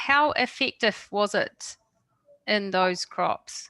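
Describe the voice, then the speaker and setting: With a New Zealand accent, a woman talks in a bright, sharp tone, recorded with a dry, close sound with no echo. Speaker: webinar moderator. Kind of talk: webinar Q&A.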